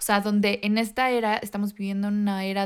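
A woman with an ordinary speaking voice, medium pitch and moderate pace. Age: 20s. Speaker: podcast co-host. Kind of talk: casual chat. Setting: video call.

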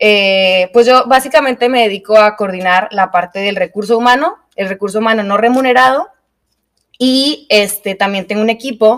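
Someone with a Mexican accent speaks at a moderate pace with ordinary pitch variation. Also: woman. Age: 20s. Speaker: podcast co-host, yoga teacher. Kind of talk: casual chat. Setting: studio.

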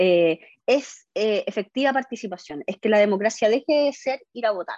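A woman with a Chilean accent speaks at a moderate pace in a fairly high voice with ordinary pitch variation, the sound dry and close with no echo. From Chile, O'Higgins region (San Fernando). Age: 40s. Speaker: constitutional convention member. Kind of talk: interview.

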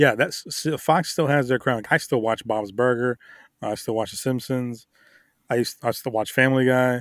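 A man with an ordinary speaking voice and a medium pitch talks at a fairly quick pace with fairly even intonation. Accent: American. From Miami, Florida. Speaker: podcast co-host. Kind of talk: casual chat.

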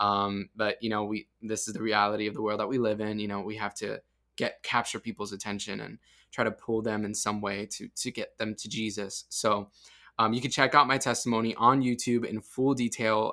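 Over a silent background in a very clean recording, a man talks at a fairly quick pace with a medium pitch, a bright, sharp tone and monotone, flat intonation. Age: 20s. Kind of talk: personal testimony in a casual interview.

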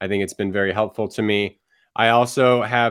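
In a very clean recording with a silent background, a man with an unremarkable speaking voice talks at a fairly low pitch and a moderate pace with fairly even intonation. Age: 40s. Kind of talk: casual conversation.

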